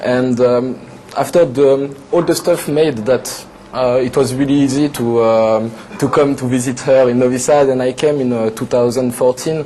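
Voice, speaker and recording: Noticeable background noise under a man at a medium pitch, with fairly even intonation and a moderate pace. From western France, Atlantic coast. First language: French. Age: 20s. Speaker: TV show guest, French expat. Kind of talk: casual interview chat. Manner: halting, many fillers.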